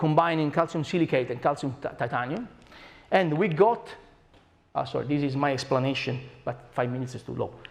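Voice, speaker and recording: Speaking at a fairly quick pace, a man with an Italian accent has a fairly high pitch. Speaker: scientist. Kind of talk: lecture. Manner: animated.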